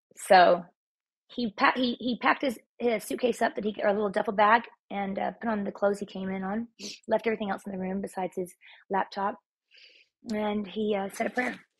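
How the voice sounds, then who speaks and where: Somewhat breathy and at a medium pitch, a woman speaks with an American accent at a fairly quick pace and with fairly even intonation. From Texas. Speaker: former hairstylist, trauma survivor. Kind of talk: casual interview, personal story.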